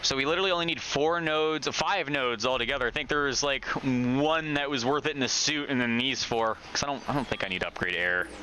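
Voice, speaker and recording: Over noticeable background noise, a fairly high-pitched man talks very fast with hardly any pauses, his loudness very even and his pitch varying in an ordinary way. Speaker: gaming streamer. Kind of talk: live gameplay commentary. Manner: stutters when excited; casual, profane.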